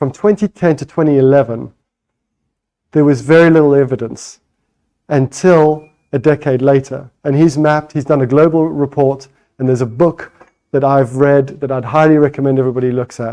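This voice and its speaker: Dark and mellow in tone, a man's fairly high voice holds a fairly even intonation. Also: moderate pace. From Botswana. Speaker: parent campaigner and phone entrepreneur. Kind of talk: conference talk.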